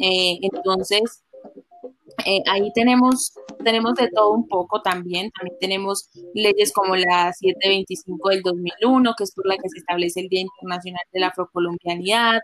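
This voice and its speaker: In a dry, close sound with no echo, a woman talks at a fairly slow pace with ordinary pitch variation. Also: medium pitch for a woman. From Colombia, Chocó (Quibdó). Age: 20s. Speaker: law student. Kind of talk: interview. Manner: hesitant, many fillers.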